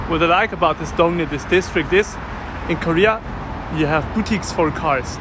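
Clearly audible background noise behind rather fast talking. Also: dry sound with no echo. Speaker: walking tour vlogger. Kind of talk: casual vlog chat. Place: street. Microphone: phone near.

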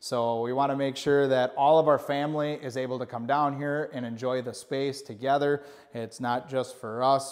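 A man talks fairly quickly, his intonation fairly even, with a quiet background behind him. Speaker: channel host giving a tour. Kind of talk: casual vlog chat. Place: office.

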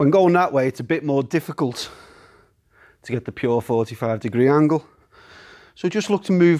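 The pace is moderate from this man. Behind him, the background stays quiet. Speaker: boxing coach. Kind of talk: tutorial. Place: gym.

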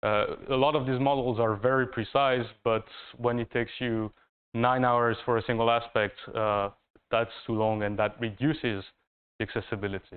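A man in a French accent at a moderate pace, with fairly even intonation, against a quiet background. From France. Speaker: master's student; presenter. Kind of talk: thesis presentation. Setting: university room, live stream. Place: classroom.

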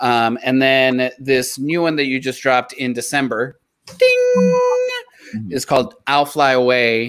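Over a quiet background, a man talks at a fairly slow pace with fairly even intonation. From South Texas, Mexican American. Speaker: podcast co-host. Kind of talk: casual chat. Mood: warm, friendly. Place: home room. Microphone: earbuds.

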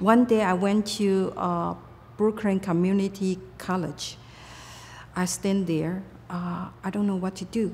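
A woman with a Taiwanese accent, somewhat breathy, with fairly even intonation and a fairly slow pace. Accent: Taiwanese Mandarin-accented English. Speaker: retired computer company owner. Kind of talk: interview answer. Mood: reflective, calm. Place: home room.

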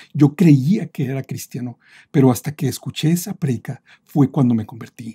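A man's fairly high, somewhat breathy voice with a dark, mellow tone, ordinary pitch variation and a moderate pace, dry and close with no echo. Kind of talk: product review and testimony.

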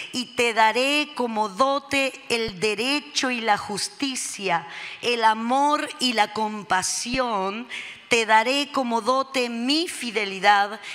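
A woman talks at a very slow pace. Her pitch variation is ordinary. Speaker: pastor preaching. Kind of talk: sermon reading and prayer. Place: church. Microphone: handheld.

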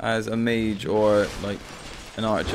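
A man's fairly low-pitched voice against noticeable background noise. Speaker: gaming YouTuber. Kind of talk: let's play gameplay commentary.

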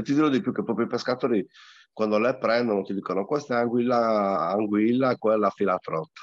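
Over a quiet background, a man speaks at a fairly quick pace with ordinary pitch variation. The sound is dry, with no echo. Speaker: angler; guest. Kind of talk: casual chat. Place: home room. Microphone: video call.

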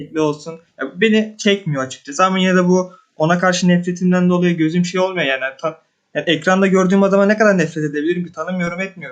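A man speaks very fast at a high pitch. His intonation stays fairly even. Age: 20s. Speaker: viewer. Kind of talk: casual chat. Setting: voice call. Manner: halting.

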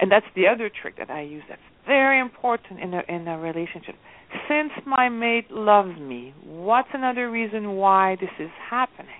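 A woman's medium-pitched voice with very wide pitch swings and big swings in loudness. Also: moderate pace. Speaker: relationship coach and author. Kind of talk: radio interview.

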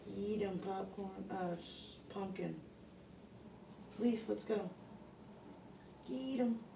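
In an American accent, the speaker goes at a very slow pace over noticeable background noise. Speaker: pet rat owner. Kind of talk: casual talk to pet rats. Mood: encouraging, playful. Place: home room. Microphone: phone near.

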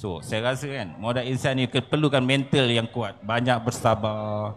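A man with a Malaysian accent speaks at a fairly slow pace with ordinary pitch variation over light background noise. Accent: Malaysian Malay. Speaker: lecturer. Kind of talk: panel discussion. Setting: stage with audience. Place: stage. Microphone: handheld.

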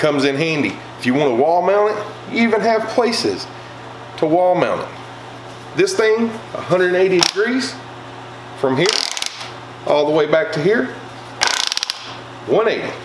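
A man speaks at a fairly high pitch with big pitch swings and a fairly slow pace. Long, frequent pauses and audible room echo are present.

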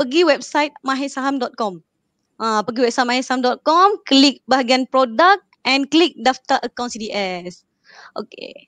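Dry sound with no echo carries a woman's high-pitched voice. She talks at a fairly slow pace. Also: lively intonation, quiet background. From Malaysia. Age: 20s. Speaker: customer service staff. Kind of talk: casual livestream chat. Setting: live stream. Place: home room. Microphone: video call.

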